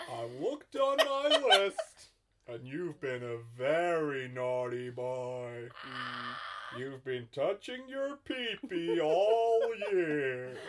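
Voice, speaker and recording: A man speaks in a put-on character voice, pitched fairly high, with very wide pitch swings and big jumps in loudness. He talks at a very slow pace, with long, frequent pauses. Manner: jolly, teasing.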